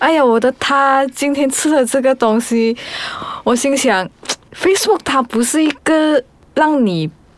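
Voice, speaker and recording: Her pitch is high and her intonation lively as this woman speaks at a fairly slow pace. Loudness stays very even. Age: 30s. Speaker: podcast guest. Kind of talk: casual chat.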